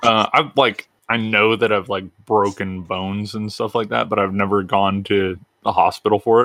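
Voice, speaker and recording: Intonation stays fairly even throughout. It is an unremarkable speaking voice. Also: man. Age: 20s. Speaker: podcast co-host. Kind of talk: casual chat.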